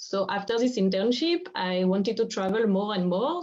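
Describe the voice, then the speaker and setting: Speaking with a French accent, a woman uses ordinary pitch variation. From France. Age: 20s. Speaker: craft initiative co-founder. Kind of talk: interview.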